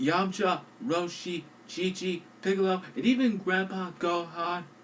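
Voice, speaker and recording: High-pitched male speech amid noticeable background noise. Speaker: online film reviewer. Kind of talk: movie review narration. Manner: quiet.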